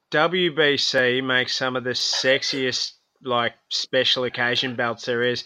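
With an Australian accent, a man speaks at a very slow pace and medium pitch, his intonation fairly even. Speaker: professional boxer. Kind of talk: casual chat.

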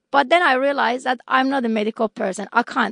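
With an Iranian accent, a woman speaks at a high pitch with ordinary pitch variation. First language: Persian. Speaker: scientist. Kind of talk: interview.

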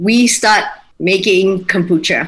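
A woman at a very slow pace with lively intonation. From Malaysia, Kuching (Sarawak). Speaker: home baker and mother. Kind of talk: casual interview.

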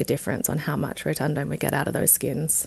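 A woman with an Australian accent at a moderate pace, over a quiet background. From South Australia, Barossa Valley. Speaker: wine research scientist. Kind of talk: interview. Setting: studio.

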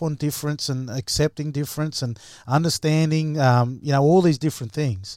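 A man with an Australian accent, fairly high pitch and ordinary pitch variation, at a fairly quick pace, with a dry, close sound with no echo on a very clean recording with a silent background. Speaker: former rugby league player and coach. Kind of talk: panel discussion.

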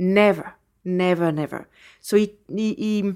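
In a very clean recording with a silent background, a woman with a French accent speaks at a medium pitch and a fairly slow pace. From France, Champagne region (Reims). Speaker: champagne house owner. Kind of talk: interview. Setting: in person in Melbourne.

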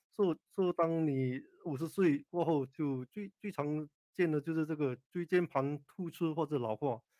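A man speaks in a normal speaking voice at a fairly high pitch, with ordinary pitch variation and a fairly slow pace. The sound is dry and close, with no echo. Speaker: orthopaedic spine surgeon. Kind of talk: expert interview on radio call-in. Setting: radio studio with Facebook Live.

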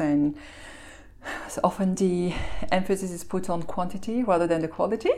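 A woman with an Belgian accent speaks at a fairly low pitch. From Belgium. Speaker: malting company executive. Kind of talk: interview. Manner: articulate.

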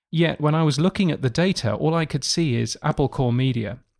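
Here is a man with an unremarkable speaking voice, talking at a fairly quick pace with ordinary pitch variation. The recording is very clean, with a silent background and a dry, close sound with no echo. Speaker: podcast industry news editor. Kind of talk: casual interview chat.

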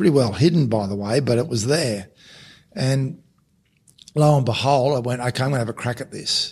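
With an Australian accent, a somewhat breathy man speaks at medium pitch and a moderate pace, with ordinary pitch variation and long, frequent pauses. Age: 50s. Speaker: former rugby league coach, podcast co-host. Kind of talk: casual interview conversation.

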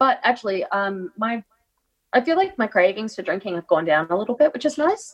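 With an Australian accent, a woman talks at a fairly quick pace, her fairly high pitch moving in very wide swings. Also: dry, close sound with no echo. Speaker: co-host. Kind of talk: casual chat. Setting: video call.

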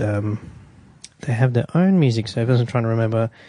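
Set against a quiet background, a man with an Australian accent speaks at a medium pitch with ordinary variation and a dark, mellow tone. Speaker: radio co-host. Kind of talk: casual radio banter, reading tech news aloud. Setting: radio studio.

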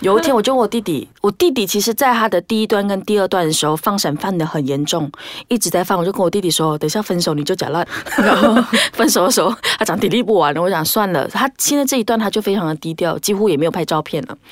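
A woman's medium-pitched voice, very fast and with lively intonation, over noticeable background noise. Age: 20s. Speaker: podcast host. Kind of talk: casual chat.

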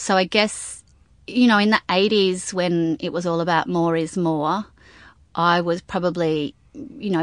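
A woman with an Australian accent speaks at a moderate pace in a fairly low pitch with ordinary pitch variation, against a quiet background. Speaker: milliner. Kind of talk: interview. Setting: studio.

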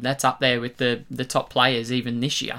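An Australian accent at a moderate pace, in a very clean recording with a silent background. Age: 20s. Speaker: sports podcast co-host. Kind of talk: casual chat.

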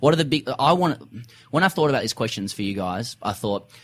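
A man at a very fast pace with an Australian accent. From Sydney, Australia. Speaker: comedy cricket podcaster and author. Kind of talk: casual interview.

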